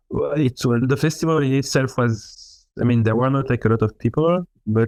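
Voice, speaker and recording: Over a quiet background, a man talks at a moderate pace with a dark, mellow tone in a dry, close sound with no echo. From France. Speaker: musician. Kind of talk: interview.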